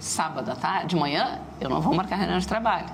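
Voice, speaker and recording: A woman talks very fast at a fairly low pitch in a southern Brazilian accent. Noticeable background noise and audible room echo fill the recording. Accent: gaúcho Brazilian Portuguese. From southern Brazil, Rio Grande do Sul (Rio Grande). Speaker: startup entrepreneur and business mentor. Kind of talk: TV interview.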